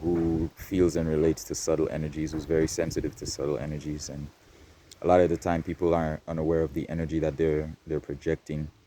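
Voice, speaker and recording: At a very fast pace, a man with a very deep, low pitch speaks in a monotone, flat intonation. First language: not English. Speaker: spiritual vlogger. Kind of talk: casual monologue. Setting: outdoors in nature. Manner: projecting louder than usual.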